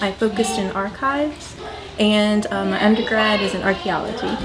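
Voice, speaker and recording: Noticeable background noise accompanies a woman talking at a fairly quick pace. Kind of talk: interview answer. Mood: friendly, smiling. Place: hall.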